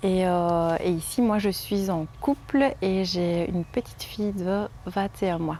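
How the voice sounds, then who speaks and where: In a Liège accent, a woman speaks at a medium pitch with a dark, mellow tone and ordinary pitch variation. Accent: Liège Belgian French. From Belgium, Liège region. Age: 20s. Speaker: home nurse and mother. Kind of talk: interview testimony. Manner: halting, many hesitations.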